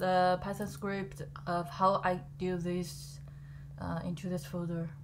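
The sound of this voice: Her pitch fairly low and showing little movement, a woman speaks at a slow pace.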